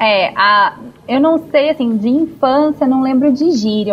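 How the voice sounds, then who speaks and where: A woman in a Carioca accent at a moderate pace with ordinary pitch variation, over noticeable background noise. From Rio de Janeiro, Zona Norte. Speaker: podcast panelist. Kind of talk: casual chat.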